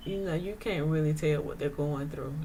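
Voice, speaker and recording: Somewhat breathy and dark, mellow in tone, a woman's very deep, low voice carries ordinary pitch variation amid audible room echo. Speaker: vlogger sharing her chronic illness experience. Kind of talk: casual monologue vlog. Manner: hesitant, many fillers.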